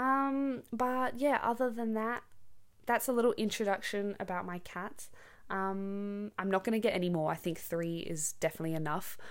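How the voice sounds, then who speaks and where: A woman with an Australian accent at medium pitch, moderate pace and ordinary pitch variation, on a very clean recording with a silent background. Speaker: podcast host for English learners. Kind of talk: casual monologue, natural English for learners. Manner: casual, many filler words.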